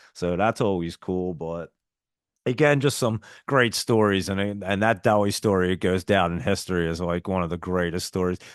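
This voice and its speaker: A man with a strong New Jersey accent talks at a moderate pace with ordinary pitch variation. His pitch is very deep and low, and the sound is dry and close with no echo. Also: quiet background. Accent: heavy Northeast US (New Jersey). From South Jersey, near Philadelphia. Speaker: stock market streamer. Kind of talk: live stream chat. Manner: animated.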